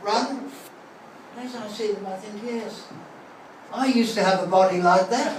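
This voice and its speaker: With an Australian accent, the speaker goes at a moderate pace against noticeable background noise. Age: 70s. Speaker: retired school headmaster. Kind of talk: after-dinner speech. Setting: reunion dinner with audience. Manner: anecdotal, with hesitations.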